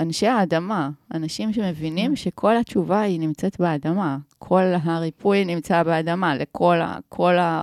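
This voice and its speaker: This is an ordinary speaking voice, a woman's, fairly low in pitch with ordinary pitch variation and a fairly slow pace. The sound is dry and close with no echo, on a very clean recording with a silent background. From Israel, Omer. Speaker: filmmaker and video producer. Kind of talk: casual interview. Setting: podcast studio.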